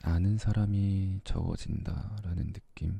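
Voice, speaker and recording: A man speaks with a very deep, low pitch and a dark, mellow tone. His voice is somewhat breathy. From Korea. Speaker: ASMR creator. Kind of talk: casual talk to camera. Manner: soft-spoken.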